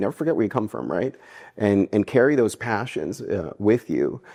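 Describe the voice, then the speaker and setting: Over a quiet background, a dark, mellow tone comes at a fairly quick pace with a dry, close sound and no echo. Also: man. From US Northeast (New Jersey), Cuban-American family. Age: 40s. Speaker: philanthropy fundraiser. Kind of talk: interview.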